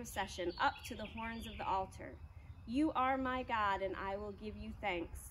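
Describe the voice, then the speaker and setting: A woman's plain, everyday voice with ordinary pitch variation, a moderate pace and light background noise. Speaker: church service leader. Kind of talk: church announcements. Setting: outdoors. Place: garden. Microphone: camera far.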